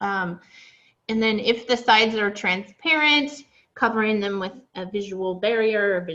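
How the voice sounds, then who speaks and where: A plain, everyday voice from a woman, medium in pitch, at a fairly slow pace. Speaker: animal training instructor. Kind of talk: online class lecture.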